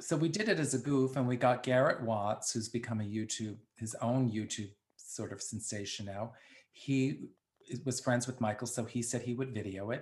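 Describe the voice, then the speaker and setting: The voice is somewhat breathy, in a New York accent. It keeps a moderate pace with ordinary pitch variation. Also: man. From the Bronx, New York. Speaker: drag performer and actor. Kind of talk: casual interview.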